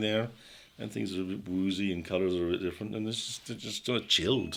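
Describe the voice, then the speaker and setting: The man's tone is bright and sharp. He speaks at a very fast pace. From Britain. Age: 70s. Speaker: psychiatrist and drug researcher. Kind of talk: podcast interview.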